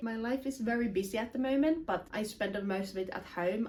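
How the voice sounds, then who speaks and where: Over noticeable background noise, a woman with a fairly high pitch speaks at a fairly quick pace with ordinary pitch variation. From Finland. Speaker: self-improvement content creator. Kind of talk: casual vlog talk to camera.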